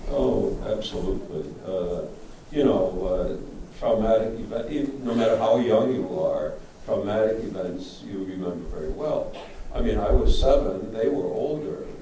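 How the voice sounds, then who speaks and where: A man's voice proceeds at a moderate pace, with audible room echo and noticeable background noise behind it. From Germany. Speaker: Holocaust refugee survivor. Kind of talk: panel Q&A testimony.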